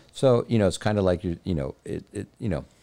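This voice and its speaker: Using an American accent, a man with a dark, mellow tone and vocal fry talks at a fairly quick pace with ordinary pitch variation. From Texas, Laredo (US-Mexico border). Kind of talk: casual interview chat.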